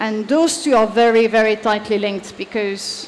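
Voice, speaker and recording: Over light background noise, a woman with a French accent speaks at a moderate pace and a fairly high pitch. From France. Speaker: leadership advisor; conference speaker. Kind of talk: conference talk. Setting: stage with audience. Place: stage.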